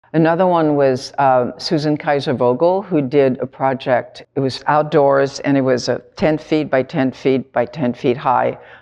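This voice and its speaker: A woman speaks with a very deep, low pitch and fairly even intonation. She talks at a fairly slow pace with hardly any pauses. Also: very even loudness. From Tunisia. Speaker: artist. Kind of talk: reflective interview monologue.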